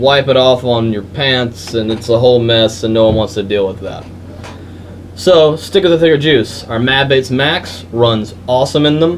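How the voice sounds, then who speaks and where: A man with an American accent talks at a medium pitch, with noticeable background noise behind him. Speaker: vape shop employee. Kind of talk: product tutorial. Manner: stuttering; casual, filler-heavy.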